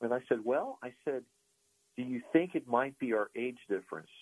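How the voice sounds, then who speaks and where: A man talks at a fairly quick pace in a normal speaking voice with a medium pitch. The sound is dry and close, with no echo. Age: 60s. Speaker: financial advisor. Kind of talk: interview.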